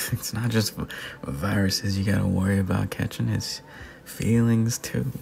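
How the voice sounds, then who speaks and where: A man with a fairly low pitch, a soothing tone and lively intonation, at a moderate pace and very even loudness, over noticeable background noise. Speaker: voice actor. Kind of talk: heartfelt personal advice talk. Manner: soothing, calming.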